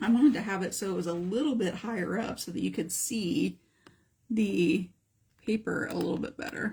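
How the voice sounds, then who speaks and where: With a dark, mellow tone and some vocal fry, a woman speaks at a moderate pace using lively intonation. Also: medium pitch for a woman. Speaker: art teacher. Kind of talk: live art tutorial. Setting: live stream. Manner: casual, thinking aloud.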